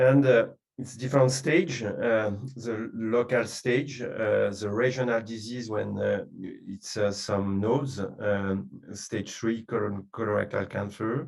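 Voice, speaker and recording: A man with a French accent at a medium pitch, fairly even intonation and a fairly slow pace, with music in the background. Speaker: oncologist. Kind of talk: medical webinar presentation. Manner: halting, many fillers.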